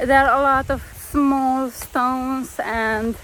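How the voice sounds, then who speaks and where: Against noticeable background noise, a woman speaks with a non-native accent. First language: not English. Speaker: travel vlogger. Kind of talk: travel vlog narration. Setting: outdoors.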